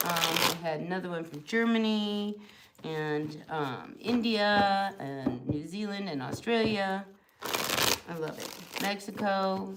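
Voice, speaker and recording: Noticeable background noise and audible room echo sit behind a woman speaking at a very slow pace. Her medium-pitched voice has lively intonation. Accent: New Jersey. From US Northeast, New Jersey. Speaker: tarot reader. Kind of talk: live tarot reading stream. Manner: casual, chatty.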